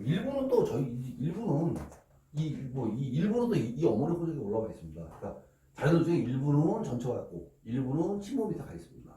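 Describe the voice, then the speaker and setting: A fairly high-pitched man at a fairly quick pace, with very wide pitch swings and big swings in loudness, plus audible room echo and noticeable background noise. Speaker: law office manager explaining inheritance law. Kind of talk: lecture. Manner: speeds up as he goes.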